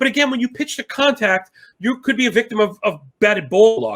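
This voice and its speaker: Extremely high-pitched and animated, a man talks at a fairly quick pace with ordinary pitch variation. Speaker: sports betting analyst. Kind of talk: sports betting discussion. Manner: fast.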